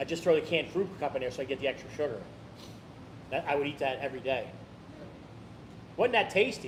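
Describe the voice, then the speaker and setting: A somewhat breathy man at a fairly high pitch, talking at a very fast pace with long, frequent pauses. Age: 60s. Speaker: eating challenge podcast host. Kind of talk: casual chat.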